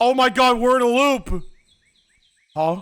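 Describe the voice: A man's extremely high-pitched voice with a fairly bright tone, ordinary pitch variation and a slow pace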